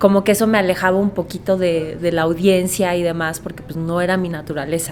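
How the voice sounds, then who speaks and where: A woman's medium-pitched, fairly quick voice with monotone, flat intonation over noticeable background noise. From Mexico. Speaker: voice actor; radio host. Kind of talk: podcast interview answer.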